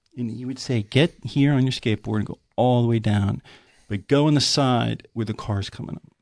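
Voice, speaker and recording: A man speaks at a medium pitch with fairly even intonation. He has a normal speaking voice. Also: moderate pace. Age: 50s. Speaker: podcast guest, artist. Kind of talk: casual chat.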